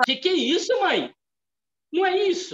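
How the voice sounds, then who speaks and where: At a moderate pace, a man speaks at an extremely high pitch with ordinary pitch variation. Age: 50s. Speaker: theology lecturer. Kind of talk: lecture.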